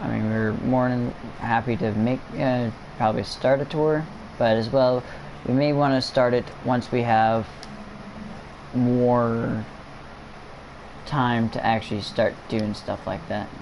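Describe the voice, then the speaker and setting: A quiet man with a medium pitch talks at a fairly slow pace with fairly even intonation and long, frequent pauses. Noticeable background noise runs underneath. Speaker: gaming livestreamer. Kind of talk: casual livestream commentary. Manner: halting.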